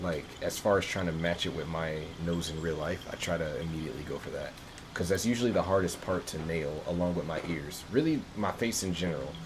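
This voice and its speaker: A man's very deep, low pitch with ordinary pitch variation at a fairly quick pace, amid noticeable background noise and audible room echo. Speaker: video game streamer. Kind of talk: casual gameplay livestream commentary.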